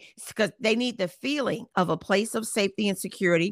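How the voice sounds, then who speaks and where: Heard in a very clean recording with a silent background and a dry, close sound with no echo, a woman with a normal speaking voice and medium pitch talks at a moderate pace with ordinary pitch variation. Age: 50s. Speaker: Bible teacher and author. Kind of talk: interview testimony and teaching.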